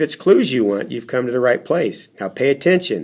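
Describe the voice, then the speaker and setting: Putting on a raspy character voice at a medium pitch, a man speaks at a moderate pace. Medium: read story. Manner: alert, careful.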